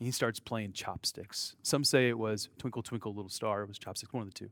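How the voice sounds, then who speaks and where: A man with a General American accent has an ordinary speaking voice, fairly low, at a moderate pace. The recording is very clean with a silent background, dry and close with no echo. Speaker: preacher. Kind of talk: sermon. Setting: church with congregation.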